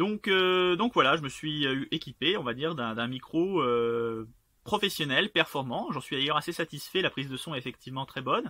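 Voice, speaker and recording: Lively intonation marks this man's fairly high voice. He keeps a moderate pace. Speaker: self-published author and YouTuber. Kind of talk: casual vlog. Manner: hesitant, many fillers and repetitions.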